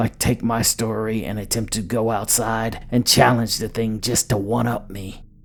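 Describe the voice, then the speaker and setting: Music plays in the background as a man speaks at a moderate pace. His medium-pitched intonation is monotone and flat. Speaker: storyteller. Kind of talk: horror story narration.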